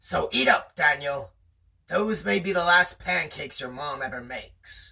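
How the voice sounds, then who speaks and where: The put-on character voice is raspy with a middle pitch. It moves at a moderate pace. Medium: read story. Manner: hearty, jokey.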